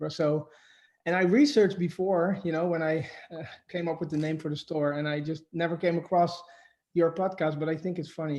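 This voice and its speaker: In a Dutch accent, a man speaks at a fairly high pitch. His delivery is fairly quick, with monotone, flat intonation. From Netherlands. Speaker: shop owner. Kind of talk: interview. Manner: halting.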